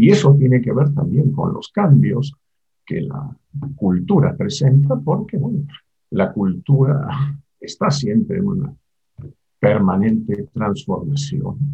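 A man speaks very slowly at a fairly high pitch, with very wide pitch swings and long, frequent pauses. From Argentina. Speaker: psychoanalyst and university lecturer. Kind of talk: interview.

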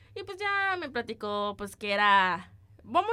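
Bright and sharp in tone, a woman speaks at a fairly high pitch with lively intonation. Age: 20s. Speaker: podcast co-host, student. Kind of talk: casual chat.

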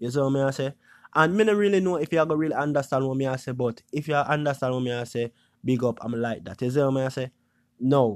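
Very fast and medium-pitched, a man talks with a Jamaican accent and ordinary pitch variation. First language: Jamaican Patois. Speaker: YouTuber podcast host. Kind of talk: casual monologue podcast. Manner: casual, hesitant with filler words.

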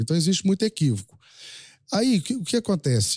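Very wide pitch swings mark a man's very fast delivery, his dark, mellow tone somewhat breathy. The very clean recording has a silent background and a dry, close sound with no echo. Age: 50s. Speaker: rural livestock auctioneer. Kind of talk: casual interview chat.

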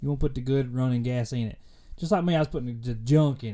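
Someone with a Kentucky accent talks very fast in a very clean recording with a silent background. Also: man. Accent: Kentucky Southern US. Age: 20s. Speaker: faith and fitness podcast host. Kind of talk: casual solo podcast monologue. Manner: halting, many fillers.

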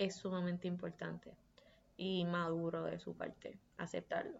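A woman's medium-pitched speech comes out with monotone, flat intonation. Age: 20s. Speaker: podcast host. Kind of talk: casual monologue.

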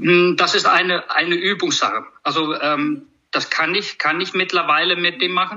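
A man's high-pitched voice at a moderate pace, with ordinary pitch variation and very even loudness. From Iceland. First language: Icelandic (speaking German). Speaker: horse trainer. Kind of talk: casual conversation interview. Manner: halting, many repetitions.

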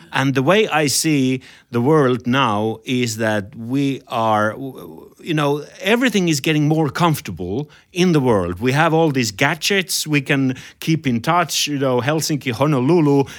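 A man's fairly high voice with a Finnish accent, lively intonation, very even loudness and a fairly slow pace, in a very clean recording over a silent background. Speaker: podcast host and jazz musician. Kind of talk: interview.

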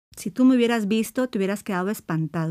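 On a very clean recording with a silent background, a woman speaks in a plain, everyday voice at medium pitch with ordinary pitch variation. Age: 50s. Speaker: psychologist and podcast host. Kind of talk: solo podcast monologue on self-esteem.

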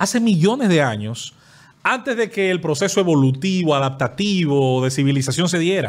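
Here a man talks in a fairly high pitch. His voice makes very wide pitch swings. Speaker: podcast guest. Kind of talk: casual chat. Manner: fast.

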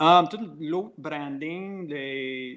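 A man is speaking. He has an English accent. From Quebec, Covey Hill / Franklin area (anglophone community). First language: English (speaking French). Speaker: brewery owner and brewer. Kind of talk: interview. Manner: halting, many hesitations.

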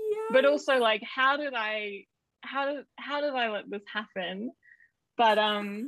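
A woman's fairly high voice with an Australian accent, ordinary pitch variation and a fairly slow pace. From Queensland, Australia. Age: 20s. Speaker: screenwriter and screenwriting student. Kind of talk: casual chat.

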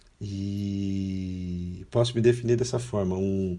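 Very slowly, a man speaks at a fairly low pitch with ordinary pitch variation. His tone is dark and mellow, and somewhat breathy. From São Paulo state, Brazil (Guarulhos), then Londrina. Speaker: international volunteer, law graduate. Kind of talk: interview conversation.

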